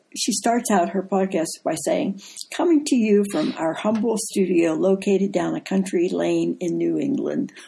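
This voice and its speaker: Speaking at a moderate pace, a woman uses a medium-pitched voice with a dark, mellow tone and vocal fry. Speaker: co-host, wife of the deacon. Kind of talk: casual chat.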